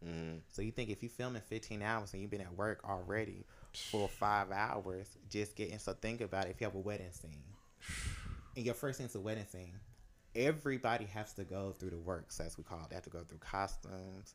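A man with a fairly low pitch speaks at a fairly quick pace with ordinary pitch variation. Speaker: costume designer. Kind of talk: casual chat. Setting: home studio.

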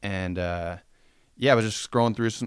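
With an American accent, the speaker moves at a fairly quick pace and keeps a fairly even intonation on a very clean recording with a silent background. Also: man. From Spokane, Washington (US Pacific Northwest). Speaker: apparel brand owner. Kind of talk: casual chat.

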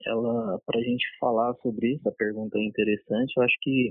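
The speaker is a man with a medium pitch. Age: 30s. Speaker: police officer. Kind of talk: interview. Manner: halting.

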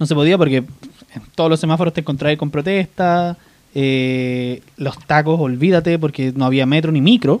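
Speaking with a Chilean accent, the man has a fairly high pitch and ordinary pitch variation. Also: moderate pace. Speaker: podcast host. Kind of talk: casual chat. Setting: home recording late at night.

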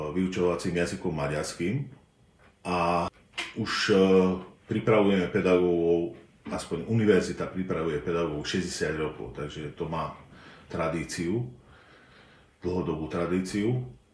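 There is audible room echo and noticeable background noise as a man speaks in a very deep, low voice. His pace is fairly slow, with long, frequent pauses and ordinary pitch variation. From southern Slovakia, bilingual Slovak-Hungarian family. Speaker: linguistics professor. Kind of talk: interview. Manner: hesitant, frequent filler sounds.

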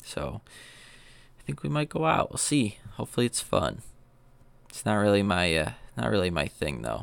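A man with vocal fry speaks at a moderate pace, his pitch swinging very widely, with long, frequent pauses on a very clean recording with a silent background. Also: fairly low pitch for a man. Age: 20s. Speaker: podcast host. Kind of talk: casual monologue.

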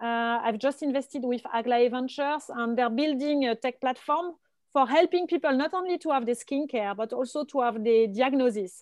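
A woman with a strong French accent speaks at a high pitch, with ordinary pitch variation. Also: moderate pace. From France. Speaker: venture capital investor. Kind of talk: casual panel discussion. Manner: hesitant, with frequent fillers.

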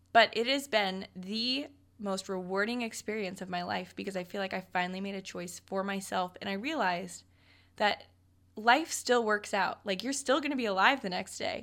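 Recorded very cleanly over a silent background, a woman with a Midwestern American accent speaks at a moderate pace with ordinary pitch variation. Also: medium pitch for a woman. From Nebraska. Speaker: podcast co-host. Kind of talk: casual chat. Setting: studio.

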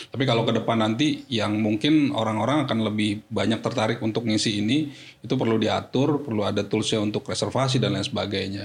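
A man at a medium pitch talks at a very fast pace with very even loudness, fairly even intonation and hardly any pauses. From Jakarta, Indonesia. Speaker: corporate IT manager. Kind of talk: podcast interview.

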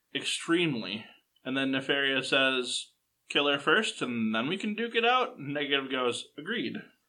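It is plain reading aloud against a quiet background.

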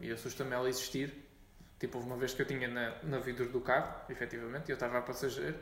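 A man talks at a very fast pace. Audible room echo and noticeable background noise surround him. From Portugal, Montijo. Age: 20s. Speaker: podcast host. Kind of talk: casual chat.

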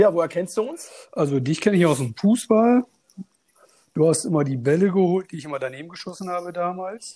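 Here a man speaks at a fairly quick pace with a high pitch. His tone is dark and mellow, and his intonation is lively. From Münster, Germany. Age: 30s. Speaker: fantasy football player, podcast guest. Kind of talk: casual interview chat.

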